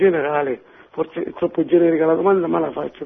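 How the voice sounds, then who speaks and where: Talking at a fairly quick pace, a man uses a high-pitched voice. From Reggio Calabria, Italy. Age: 60s. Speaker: caller. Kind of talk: casual chat. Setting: phone call.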